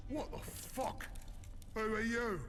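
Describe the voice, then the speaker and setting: A man's put-on character voice at an extremely high pitch, with clear background noise. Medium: video game.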